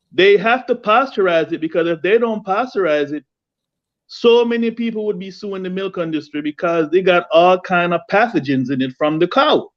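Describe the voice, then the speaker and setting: This voice has a Jamaican accent and lively intonation, heard against a quiet background. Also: man. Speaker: home gardener, viewer of the channel. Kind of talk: casual chat.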